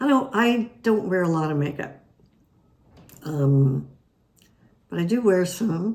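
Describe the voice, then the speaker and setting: At a very slow pace with long, frequent pauses, a somewhat breathy speaker with an American accent uses very wide pitch swings. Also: woman, medium pitch for a woman. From Utah. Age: 70s. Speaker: retirement community resident. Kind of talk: interview.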